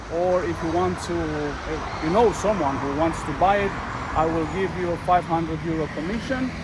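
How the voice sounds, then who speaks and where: Speaking with a non-native accent at a moderate pace, a man has a high pitch and ordinary pitch variation, with noticeable background noise and audible room echo. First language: not English. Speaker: vlogger selling his motorhome. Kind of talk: casual walkthrough tour. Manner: halting, many fillers.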